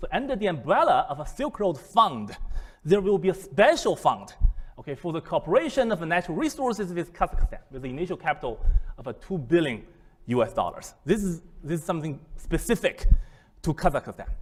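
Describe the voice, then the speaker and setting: A man talks at a fairly quick pace with a Chinese accent. His voice sits high and swings very widely in pitch. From China. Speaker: business school professor. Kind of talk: lecture. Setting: seminar room with audience. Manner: halting, many fillers and repetitions.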